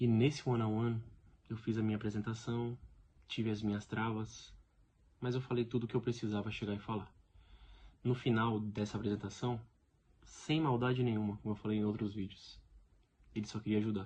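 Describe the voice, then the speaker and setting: The voice is somewhat breathy and monotone with flat intonation, broken by long, frequent pauses. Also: man, medium pitch for a man, fairly quick pace. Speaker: stuttering advocate vlogger. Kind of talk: personal testimony vlog. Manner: repetitions and blocks.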